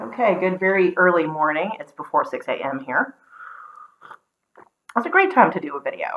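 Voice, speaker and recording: A woman with an American accent at a moderate pace, with long, frequent pauses and big swings in loudness. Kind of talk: casual talk to camera.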